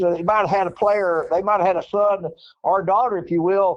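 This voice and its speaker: In an Arkansas accent, a man talks at a moderate pace with a high pitch and ordinary pitch variation. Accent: Southern US (Arkansas). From Northeast Arkansas, US South. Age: 70s. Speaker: former basketball coach. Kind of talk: interview. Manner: repetitive, stammering restarts.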